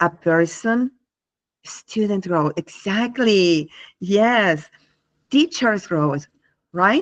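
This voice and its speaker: Someone with a non-native accent speaks at a very slow pace with lively intonation and long, frequent pauses, in a dry, close sound with no echo. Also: woman, medium pitch for a woman. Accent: non-native English speaker. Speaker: English teacher and workshop presenter. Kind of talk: live online workshop. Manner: hesitant, with fillers.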